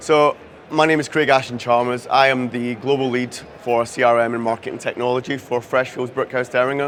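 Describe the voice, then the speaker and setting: Here is a man with a Scottish accent at a medium pitch. He talks at a fairly quick pace in a monotone, flat intonation. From Scotland. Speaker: CRM and marketing technology lead. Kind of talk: conference talk.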